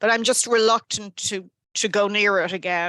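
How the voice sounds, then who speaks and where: In an Irish accent, a woman speaks at a moderate pace with a medium pitch, a bright, sharp tone and fairly even intonation, the sound dry and close with no echo against a quiet background. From Ireland. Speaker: library staff member. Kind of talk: online meeting discussion. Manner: hesitant, many fillers.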